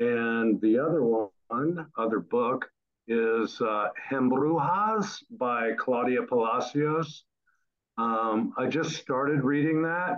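A man with an American accent and a medium pitch at a very slow pace. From Ohio, US. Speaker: graduate student. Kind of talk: debate. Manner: halting.

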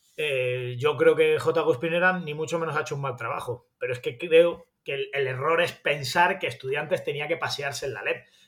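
The pace is moderate, with hardly any pauses. Intonation stays fairly even throughout. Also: man, fairly high pitch for a man. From Spain, Granada. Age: 40s. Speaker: sports journalist. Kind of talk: interview.

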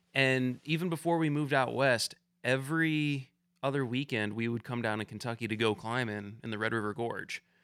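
A man with a plain, everyday voice, medium pitch and ordinary pitch variation at a fairly quick pace, in a very clean recording with a silent background. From Southeast Michigan. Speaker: videographer and climber. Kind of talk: casual chat.

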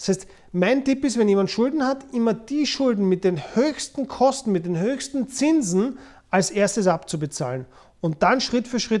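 A man talks at a fairly slow pace, his pitch high and his intonation lively. The recording is very clean, with a silent background. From Austria, Vienna. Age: 40s. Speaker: podcast host, former private banker. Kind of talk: casual talk on personal finance. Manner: frequent fillers and word repetitions.

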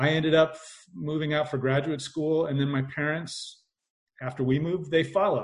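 In a somewhat breathy, fairly high voice, a man speaks with a Midwestern American accent. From US, Indiana. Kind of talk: casual chat.

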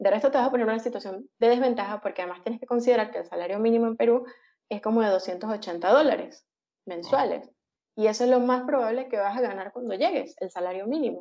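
A woman's fairly high voice at a very fast pace. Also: ordinary pitch variation. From Venezuela, Caracas. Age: 30s. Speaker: software engineer. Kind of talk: casual interview.

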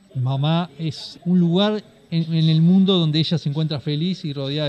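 Speaking with a Uruguayan accent, a man keeps his intonation fairly even. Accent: Uruguayan Rioplatense Spanish. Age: 40s. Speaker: cattle farmer and livestock broker. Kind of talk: interview storytelling.

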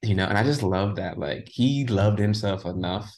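Somewhat breathy and fairly low in pitch, a man speaks at a fairly quick pace. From Jamaican diaspora. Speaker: creative agency founder. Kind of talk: interview. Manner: animated.

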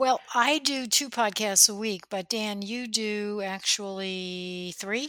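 Speaking very slowly yet with hardly any pauses, a woman has an American accent and medium pitch. Her tone is bright and sharp, with ordinary pitch variation. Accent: slight New Jersey accent, usually suppressed. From New Jersey. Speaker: podcast co-host. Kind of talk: casual chat.

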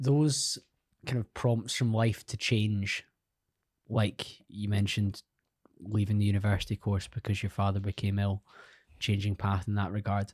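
At a moderate pace with long, frequent pauses, the speaker sounds somewhat breathy, with fairly even intonation and a dry, close sound with no echo. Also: man, fairly low pitch for a man. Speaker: podcast host. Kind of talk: casual interview. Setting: studio.

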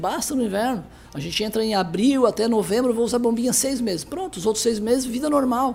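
Against noticeable background noise, a man with an extremely high pitch talks at a fairly quick pace with ordinary pitch variation. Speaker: pediatrician. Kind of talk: interview. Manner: halting.

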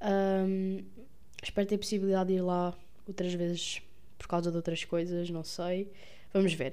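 A woman with a Lisbon accent, long and frequent pauses, and audible room echo. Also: medium pitch for a woman, moderate pace. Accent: European Portuguese, Lisbon. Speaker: podcaster, medical student. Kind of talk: casual monologue. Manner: hesitant with fillers.

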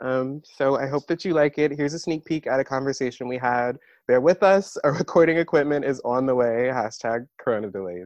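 In a normal speaking voice with an American accent, the speaker goes at a moderate pace, with a dry, close sound with no echo and a quiet background. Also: man. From Maryland, US. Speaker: podcast co-host, PhD student. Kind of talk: casual chat.

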